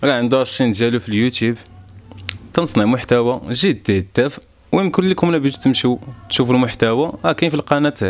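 Lively intonation marks a man's medium-pitched voice at a fairly quick pace. His loudness stays very even. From Morocco, Marrakech; Morocco. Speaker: rapper; news interviewee. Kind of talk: statement to camera. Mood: earnest, defensive explanation. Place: home room. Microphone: handheld.

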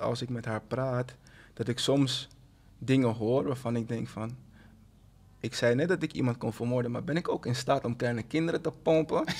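This man talks at a medium pitch and a moderate pace. His intonation stays fairly even. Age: 30s. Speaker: writer and publisher, father; podcast guest. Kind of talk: casual chat. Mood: reflective, open about fatherhood. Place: studio. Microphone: studio mic.

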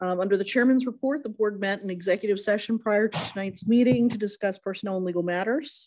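With a quiet background, a woman speaks in a dark, mellow tone. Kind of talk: meeting chair report. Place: hall. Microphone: podium.

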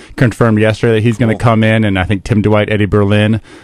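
A man with a fairly low pitch talks at a very fast pace in a dry sound with no echo. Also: quiet background. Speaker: guest. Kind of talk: interview answer. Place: studio. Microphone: studio mic.

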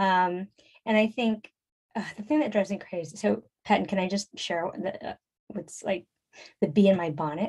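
Somewhat breathy, a woman speaks at a medium pitch and moderate pace, with ordinary pitch variation and long, frequent pauses. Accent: American. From US West Coast, San Francisco. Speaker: fundraising coach and consultant. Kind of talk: interview conversation.

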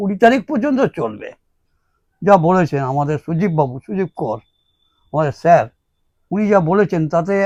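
A man with a high-pitched voice swings his pitch very widely, recorded with a dry, close sound and no echo. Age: 80s+. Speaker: spiritual guru. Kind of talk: spiritual address.

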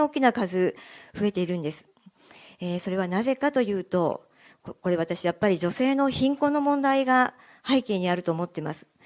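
A woman talks with lively intonation over a quiet background. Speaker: local politician. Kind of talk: campaign speech. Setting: live event with audience. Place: meeting room. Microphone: handheld.

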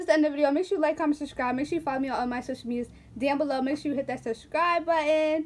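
This woman's voice sits high in pitch and sounds animated. Her pitch varies in an ordinary way. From Philadelphia, US. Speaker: YouTuber. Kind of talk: casual vlog chat. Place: home room. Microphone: phone near.

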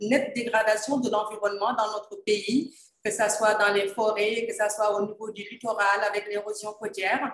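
A woman speaks at a moderate pace in a fairly high pitch. Her intonation stays monotone and flat, and the room echo is audible. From Senegal. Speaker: environmental journalist and moderator; environmental journalist, moderator. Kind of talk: panel moderation. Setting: video call. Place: office. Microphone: video call.

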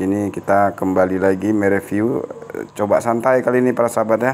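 Here is a man with an ordinary speaking voice and fairly low pitch. He moves at a moderate pace against light background noise. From Aceh, Indonesia. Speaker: gemstone hunter YouTuber; gemstone reviewer. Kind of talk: casual video review. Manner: chatty, with frequent fillers. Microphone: phone near.

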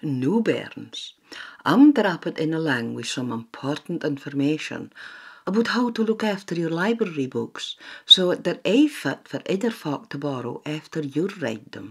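Speaking fairly slowly in a Shetland accent, a woman with a fairly low voice makes very wide pitch swings and big jumps in loudness. The recording is very clean, with a silent background. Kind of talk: public information narration. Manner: playful, friendly.

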